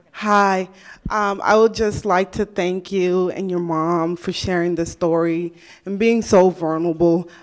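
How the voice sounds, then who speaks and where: A woman at a medium pitch and fairly slow pace, in a monotone, flat intonation. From US Mountain West. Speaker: audience member. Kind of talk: audience question. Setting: stage with audience. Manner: halting.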